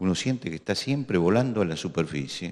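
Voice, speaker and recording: Here a man speaks at a very deep, low pitch and a moderate pace. His pitch swings very widely. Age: 60s. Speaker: pastor. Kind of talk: sermon.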